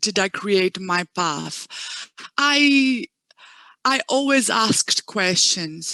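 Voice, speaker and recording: A woman with a non-native accent talks at a very slow pace, her tone bright and sharp. Her intonation is lively, and the sound is dry and close with no echo. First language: not English. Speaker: education manager. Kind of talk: panel interview.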